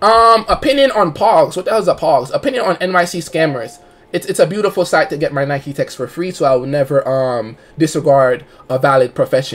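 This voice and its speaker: A man's voice with very wide pitch swings, at a fairly quick pace. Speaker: livestreamer. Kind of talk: casual stream chat and storytelling. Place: home room.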